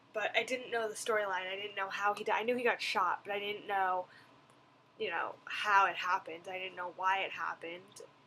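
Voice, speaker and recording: Loud and bright with a sharp tone, a woman speaks at a medium pitch and a fairly quick pace. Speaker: vlogger. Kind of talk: video blog review. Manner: animated.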